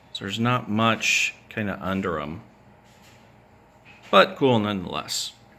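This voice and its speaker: Speaking at a fairly slow pace with long, frequent pauses, a man uses a medium pitch, a bright, sharp tone and lively intonation. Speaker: toy collector. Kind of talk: casual video update. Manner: hesitant, many fillers. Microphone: some audio issues.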